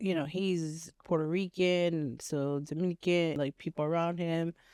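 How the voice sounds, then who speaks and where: A woman with a Californian accent and a fairly low pitch speaks at a fairly slow pace with monotone, flat intonation and very even loudness, in a dry, close sound with no echo. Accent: Californian American English. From Los Angeles, US. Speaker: podcast co-host. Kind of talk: casual chat.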